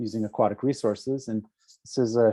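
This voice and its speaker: This man's voice has a dark, mellow tone. His intonation is fairly even. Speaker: ecology professor and researcher. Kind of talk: lecture. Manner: fast.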